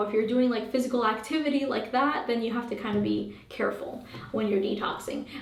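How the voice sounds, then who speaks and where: Amid noticeable background noise and audible room echo, a woman speaks at a fairly quick pace in a fairly high pitch with ordinary pitch variation. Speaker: holistic health coach. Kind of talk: Q&A monologue. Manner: fast; casual, many fillers.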